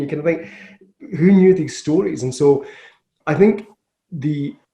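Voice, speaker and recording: Somewhat breathy and dark, mellow in tone, a man with a west of Scotland accent speaks at a moderate pace with ordinary pitch variation. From Scotland, west coast (Glasgow area). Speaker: business founder. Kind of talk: interview.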